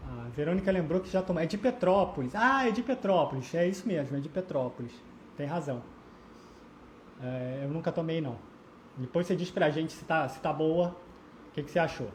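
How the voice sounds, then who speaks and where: Moderate pace with long, frequent pauses. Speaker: beer history live streamer. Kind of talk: live stream chat with viewers. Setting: Instagram live stream. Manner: halting, many fillers and repetitions.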